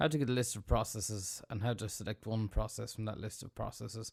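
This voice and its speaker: Recorded very cleanly with a silent background, a man talks at a fairly quick pace in an Irish accent. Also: dry, close sound with no echo. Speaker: sysadmin tech tutor. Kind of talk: tutorial. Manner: fast. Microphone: big studio mic.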